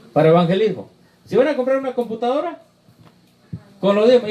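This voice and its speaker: Very fast speech competes with noticeable background noise. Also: man. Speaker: preacher. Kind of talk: Q&A session with congregation.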